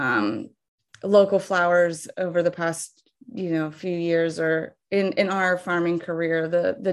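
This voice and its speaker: An ordinary speaking voice with an American accent, moderate pace, ordinary pitch variation and a quiet background. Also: woman. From Ohio, US Midwest. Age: 30s. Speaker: flower farmer. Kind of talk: interview.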